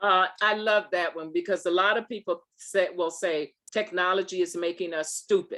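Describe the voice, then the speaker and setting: A woman at medium pitch, fairly slow and monotone, with flat intonation. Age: 70s. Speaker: STEM speaker answering youth questions. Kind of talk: conference Q&A.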